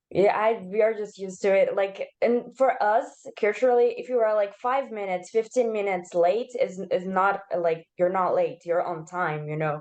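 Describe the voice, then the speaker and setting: A woman with a Portuguese accent, medium pitch, ordinary pitch variation and a moderate pace. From Brazil. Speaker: participant in cultural exchange session. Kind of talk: casual chat.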